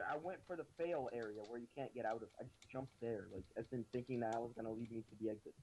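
At a fairly quick pace, a man with a normal speaking voice delivers his words in a medium pitch. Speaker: gaming YouTuber. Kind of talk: angry rant while playing a game, cursing and repeating that he can't do parkour. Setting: video game recording with friend, voice chat. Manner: frustrated, loud, repetitive, fed up; self-deprecating, swearing and laughing.

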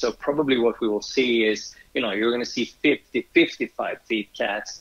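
A Swedish accent comes through as a man talks at a moderate pace. His pitch is medium and his intonation fairly even. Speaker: yacht charter company owner. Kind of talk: interview. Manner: halting.

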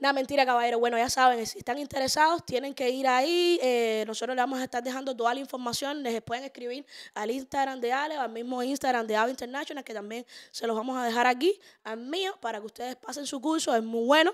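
A woman with a Cuban accent speaks in an animated tone, at a high pitch and a very fast pace. Her pitch variation is ordinary, and the background is quiet. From Cuba, Havana. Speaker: podcast host and social media influencer; podcast host, social media influencer. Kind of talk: casual chat. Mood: playful, joking. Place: studio. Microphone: studio mic.

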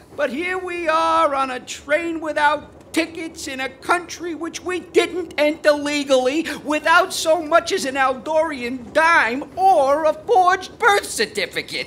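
In a put-on character voice with a high pitch, someone speaks at a fairly slow pace in a whiny, nervous tone over clear background noise. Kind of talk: 1940s radio acting. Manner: nervous, whiny, complaining.

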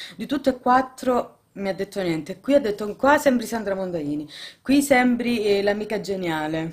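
A woman's intonation is lively. She keeps a moderate pace. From Italy. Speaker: family vlogger, mother; family vlogger. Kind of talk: casual vlog talking to camera. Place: home room. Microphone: phone near.

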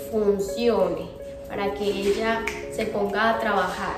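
Clear music plays behind a woman whose voice carries audible room echo. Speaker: vlogger caring for a relative in hospital. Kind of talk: casual vlog chat.

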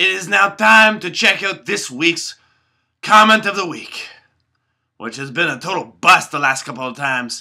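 A man puts on a character voice, fairly high-pitched with vocal fry and a bright, sharp tone. His pitch varies in an ordinary way on a very clean recording with a silent background. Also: fairly slow pace.

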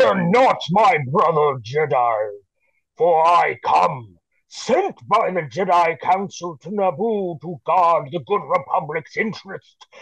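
Speaking fairly slowly, a man performs a put-on character voice that sits high in pitch. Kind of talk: Shakespearean verse reading. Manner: grand, boastful.

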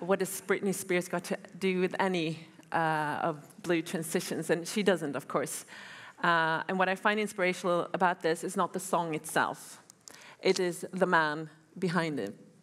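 This is a normal speaking voice from a woman, pitched fairly low. She talks at a moderate pace. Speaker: guest lecturer. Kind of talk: lecture. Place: hall. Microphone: headset.

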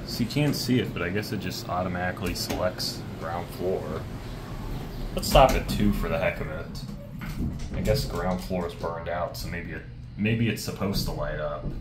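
A man at a moderate pace with long, frequent pauses under loud background noise. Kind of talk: casual commentary. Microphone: phone near.

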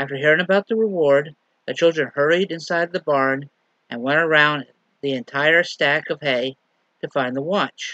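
A man's bright, sharp tone at a moderate pace with ordinary pitch variation, dry with no echo, over a quiet background. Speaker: lay minister. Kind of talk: sermon. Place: home room. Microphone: webcam.

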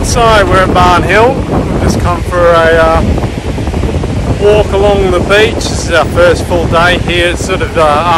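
Loud background noise runs under a man speaking at a fairly slow pace. The sound is dry, with no echo. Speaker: travel vlogger. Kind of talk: casual vlog chat. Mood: relaxed, easygoing. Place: beach. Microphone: phone near.

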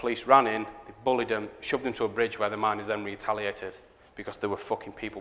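A man talks at a fairly quick pace in a Northern English accent. His pitch sits fairly low. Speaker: graphic designer. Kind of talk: live conference talk. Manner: sweary, powerful delivery. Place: hall.

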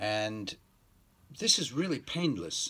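A man speaks at a very slow pace with lively intonation. His pitch sits fairly low. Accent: American. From New York. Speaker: English teacher. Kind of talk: promotional talk to camera. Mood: relaxed, friendly, smiling. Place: home room. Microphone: phone near.

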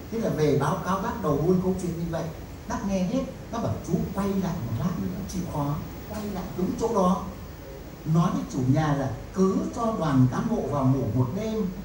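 Amid noticeable background noise and audible room echo, a man speaks fairly slowly in a high pitch with lively intonation. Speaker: professor and researcher. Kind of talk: lecture storytelling to audience. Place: hall. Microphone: pa.

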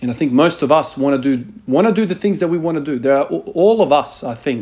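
With an ordinary speaking voice, a man moves at a fairly quick pace and shows ordinary pitch variation. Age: 30s. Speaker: fitness vlogger who works with the dead (body bags, exposure to death). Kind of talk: monologue to camera.

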